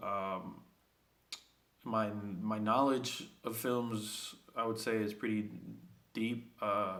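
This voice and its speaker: A man with a Spanish accent, speaking very slowly in a monotone, flat way, with long, frequent pauses and audible room echo. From Puerto Rico (Vieques), then New York City. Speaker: student. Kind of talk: self-introduction video. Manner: hesitant, many fillers.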